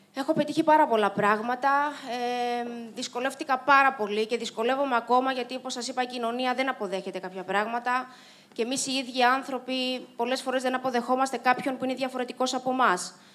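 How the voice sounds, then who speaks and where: At a fairly quick pace, a woman talks in a high voice with fairly even intonation. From Cyprus. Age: 30s. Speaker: Paralympic swimmer and motivational speaker; speaker. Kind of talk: inspirational talk. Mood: reflective, earnest. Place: stage. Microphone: handheld.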